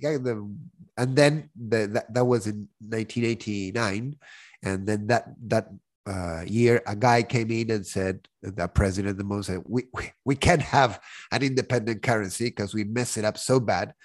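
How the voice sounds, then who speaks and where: At a moderate pace, a man with a Spanish accent speaks at a medium pitch with ordinary pitch variation against a quiet background. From Argentina. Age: 40s. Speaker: podcast co-host, school teacher and director. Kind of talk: casual chat.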